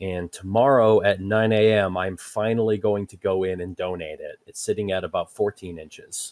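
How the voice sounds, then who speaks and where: A man speaks with a fairly low pitch and fairly even intonation at a moderate pace, with hardly any pauses. The sound is dry and close with no echo, with big swings in loudness. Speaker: podcast guest, gamer. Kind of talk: casual chat.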